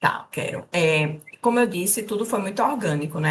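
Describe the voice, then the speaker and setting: A woman's fairly low voice with lively intonation and a strong northeastern Brazilian accent. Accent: strong drawled northeastern Brazilian. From Brazil, Northeast (Recife, Pernambuco; family from the sertão). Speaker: corporate trainer, HR community co-founder. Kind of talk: live-stream interview.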